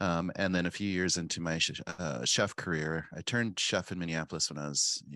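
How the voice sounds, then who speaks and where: A man's very deep, low voice with vocal fry and a bright, sharp tone, ordinary pitch variation, and a dry, close sound with no echo. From South Dakota, Pine Ridge Reservation. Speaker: chef and cookbook author. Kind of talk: interview, conversational.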